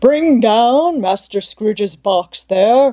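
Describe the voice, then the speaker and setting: A put-on character voice, fairly high in pitch, moves at a very slow pace with lively intonation. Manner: commanding, shouting.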